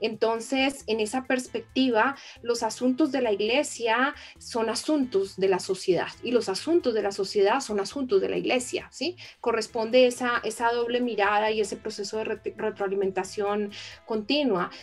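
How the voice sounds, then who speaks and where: A woman speaks in an unremarkable speaking voice. Her pitch is fairly high. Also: ordinary pitch variation, moderate pace. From Colombia. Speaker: theologian. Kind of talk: live interview conversation. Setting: live stream.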